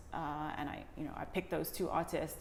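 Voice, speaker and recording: A woman speaks in a very deep, low voice with flat, monotone intonation, and the room echo is audible. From Hong Kong, then schooled in UK. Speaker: documentary director, art professional. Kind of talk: interview. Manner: hesitant, many fillers and repeats.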